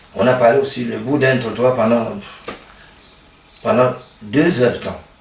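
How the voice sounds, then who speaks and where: A man is talking. Audible room echo and noticeable background noise surround his voice. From Cameroon. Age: 60s. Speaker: football coach. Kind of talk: interview. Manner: halting.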